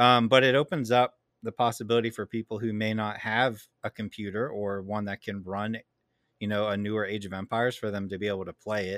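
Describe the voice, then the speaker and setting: A man with an unremarkable speaking voice, fairly low in pitch, talks at a fairly quick pace with fairly even intonation in a very clean recording with a silent background, the sound dry and close with no echo. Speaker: podcast co-host. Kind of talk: casual chat.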